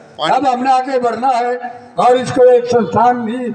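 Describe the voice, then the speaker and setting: A man is speaking, and background noise is clearly audible. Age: 70s. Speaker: community elder speaker. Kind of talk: public speech at a commemoration. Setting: public gathering at an ashram.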